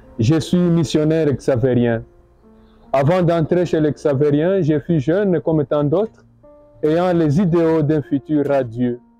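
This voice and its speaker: Over background music, a man talks at a very slow pace. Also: ordinary pitch variation. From Bukavu, South Kivu, DR Congo. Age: 30s. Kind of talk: personal vocation testimony.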